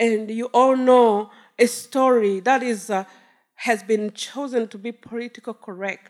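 A woman speaks with a Rwandan accent. Her pitch is fairly high and her pace fairly slow. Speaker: storyteller, genocide survivor. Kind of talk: live personal storytelling on stage. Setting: stage with audience.

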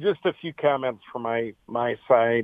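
A man with an American accent, an unremarkable speaking voice, medium pitch and a moderate pace. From Michigan, US. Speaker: caller. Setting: phone call.

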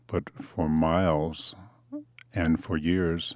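A man's very deep, low voice with an American accent, fairly even intonation and a very slow pace. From Detroit, Michigan. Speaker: oral history interviewee. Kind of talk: personal testimony.

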